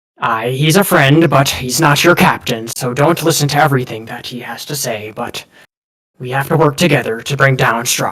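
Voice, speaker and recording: A gruff put-on character voice from a man, medium in pitch, at a moderate pace. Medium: actual play. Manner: gruff, scolding, says aye.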